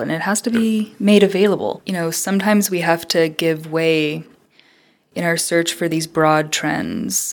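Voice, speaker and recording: The speaker has a normal speaking voice with an American accent. Pitch variation is ordinary. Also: woman. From Southern Colorado. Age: 20s. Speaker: social science researcher. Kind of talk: interview conversation.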